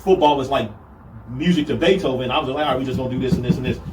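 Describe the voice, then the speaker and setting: Talking very fast over noticeable background noise, a man speaks at a medium pitch with ordinary pitch movement. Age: 40s. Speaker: football coach. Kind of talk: casual chat.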